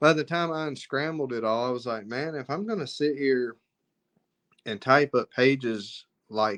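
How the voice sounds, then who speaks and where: A man with a Southern US accent talks at a moderate pace in a medium pitch against a quiet background. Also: ordinary pitch variation. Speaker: author and filmmaker. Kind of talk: interview. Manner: halting.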